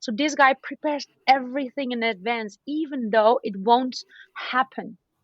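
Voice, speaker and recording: An energetic woman with a non-native accent, high pitch and ordinary pitch variation. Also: moderate pace. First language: not English. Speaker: podcaster. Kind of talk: casual interview chat. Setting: call from balcony.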